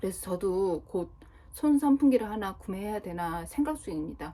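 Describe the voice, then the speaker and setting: A woman speaks at a medium pitch and a moderate pace, her dark, mellow tone carried by lively intonation. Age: 40s. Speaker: vlogger. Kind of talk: casual monologue vlog.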